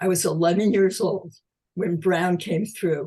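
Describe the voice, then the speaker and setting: A woman at medium pitch speaks in a somewhat breathy voice. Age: 80s+. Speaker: audience member. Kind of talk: audience comment. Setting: video call.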